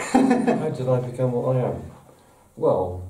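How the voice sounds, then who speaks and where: Speaking very slowly with an English accent, the voice carries audible room echo over noticeable background noise. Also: man. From England. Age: 60s. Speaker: model maker and book author. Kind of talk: interview. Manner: hesitant, with repetitions and fillers.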